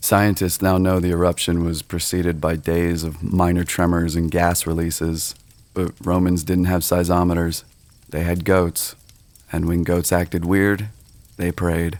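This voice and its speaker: In a calm tone, a man speaks at a very deep, low pitch with monotone, flat intonation and a fairly slow pace. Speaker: ASMR creator / storyteller. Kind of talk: ASMR sleep story narration. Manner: slow, hushed, calm.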